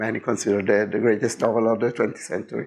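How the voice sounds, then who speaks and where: This man speaks with an Italian accent at a medium pitch. His intonation stays fairly even. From Italy. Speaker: game designer. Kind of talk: presentation. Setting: seminar room with audience. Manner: hesitant, many fillers.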